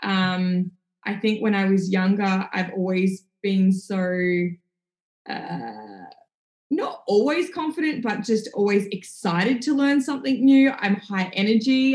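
A woman speaks in an Australian accent at a medium pitch. Her pace is fairly slow and her intonation lively. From country Victoria, Australia. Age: 30s. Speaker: entrepreneur and lifestyle influencer. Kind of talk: podcast interview.

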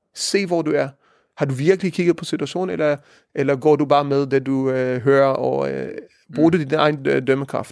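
A man's fairly high voice with ordinary pitch variation at a moderate pace, in a very clean recording with a silent background. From Israel. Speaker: rabbi. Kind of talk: interview. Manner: halting, many fillers.

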